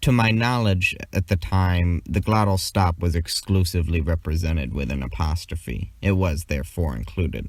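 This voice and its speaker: In a very clean recording with a silent background, a man with an American accent speaks very deep and low, somewhat breathy, with lively intonation and hardly any pauses. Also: moderate pace. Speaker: conlang video creator. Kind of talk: scripted narration.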